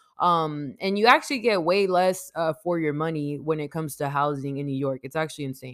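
A woman with an American accent, very fast in pace, very deep and low in pitch, animated in tone, with ordinary pitch variation. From US West Coast, San Diego. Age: 20s. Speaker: podcast host. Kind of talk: solo monologue podcast. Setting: recording at home. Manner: casual, animated.

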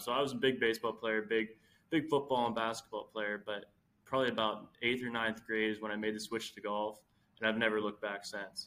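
Male voice with an American accent, medium pitch, a bright, sharp tone, monotone, flat intonation and a moderate pace. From rural central Pennsylvania. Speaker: clothing company founder, college student. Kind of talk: casual interview chat. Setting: remote call from a college study room.

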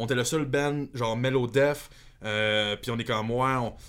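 With a Quebec accent, a man speaks at a moderate pace in a medium pitch with ordinary pitch variation. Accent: Québécois French. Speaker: metal guitarist. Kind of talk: casual chat.

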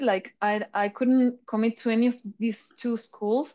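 A woman with a Spanish accent, fairly high pitch, fairly even intonation and a moderate pace, against a quiet background. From Chile. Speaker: artist and brand representative. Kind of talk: interview.

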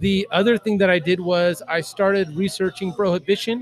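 Over music in the background, a man with a high pitch and an American accent speaks at a moderate pace in a dry, close sound with no echo. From Southern California. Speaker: craft beer podcaster. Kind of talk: casual chat. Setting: in a brewery.

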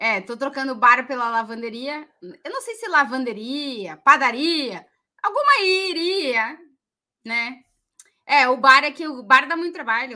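Speaking at a fairly slow pace with long, frequent pauses, a woman uses a high pitch, lively intonation and big swings in loudness. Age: 40s. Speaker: football podcast co-host. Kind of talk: casual chat.

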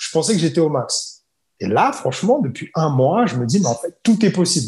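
A man is talking. His pitch swings very widely. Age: 30s. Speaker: English coach. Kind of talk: casual chat.

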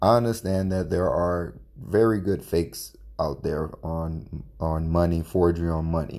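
A man speaks quietly at a very deep, low pitch with a dark, mellow tone. His pace is fairly slow with hardly any pauses and ordinary pitch variation. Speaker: podcast host. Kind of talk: personal commentary monologue.

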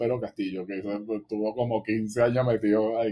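In a Venezuelan accent, the speaker talks at a moderate pace with a dark, mellow tone. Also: man. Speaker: music podcast co-host. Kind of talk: casual chat.

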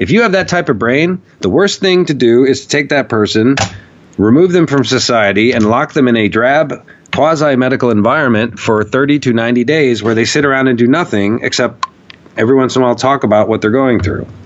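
Over noticeable background noise, a man with an American accent talks at a very even loudness. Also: medium pitch for a man, ordinary pitch variation, fairly quick pace. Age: 40s. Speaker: documentary filmmaker and activist. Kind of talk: casual interview conversation. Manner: animated.

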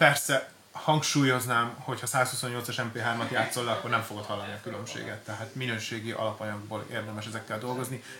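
Monotone, flat delivery from a man at a medium pitch, fairly quick and with hardly any pauses. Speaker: DJ equipment shop expert. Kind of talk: casual product presentation. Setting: studio.

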